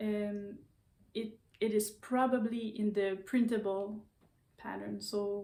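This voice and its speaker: A woman with a Quebec accent has a fairly high pitch and a dark, mellow tone. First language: French. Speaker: knitting and sewing vlogger. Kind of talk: casual vlog talk. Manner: halting, many fillers and repeats.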